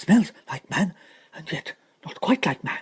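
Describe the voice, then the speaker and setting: A put-on character voice at middle pitch moves at a fairly slow pace. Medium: read story. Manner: earnest.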